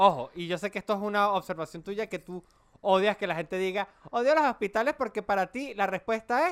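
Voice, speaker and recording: On a very clean recording with a silent background, a man with a Venezuelan accent speaks at a fairly quick pace and a high pitch, with ordinary pitch variation and a dry, close sound with no echo. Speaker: podcast co-host. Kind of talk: casual chat.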